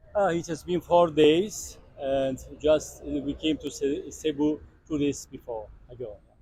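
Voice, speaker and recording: A man's fairly high, somewhat breathy voice with a dark, mellow tone, fairly even intonation and a fairly slow pace, in a Turkish accent. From Turkey. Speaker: tourist interviewee. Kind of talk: street interview. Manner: halting.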